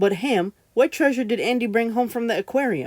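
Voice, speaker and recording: A woman puts on a character voice at a fairly high pitch. She moves at a fairly quick pace. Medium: read story. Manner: energetic, folksy.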